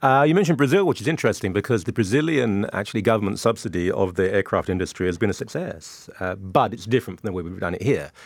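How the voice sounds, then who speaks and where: On a very clean recording with a silent background, a man with a British accent speaks very fast in a fairly low pitch with lively intonation. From UK. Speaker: author and columnist, panelist. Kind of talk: panel discussion.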